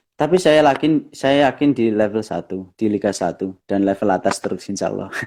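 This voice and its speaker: A man's fairly low voice carries a dark, mellow tone and lively intonation. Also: fairly quick pace, very clean recording, silent background. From East Java, Bojonegoro. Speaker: professional footballer. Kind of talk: interview.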